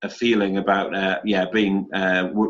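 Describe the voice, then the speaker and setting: A man with a northeast English accent at a moderate pace. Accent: northeast England (Geordie). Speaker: academic and activist. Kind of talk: panel discussion.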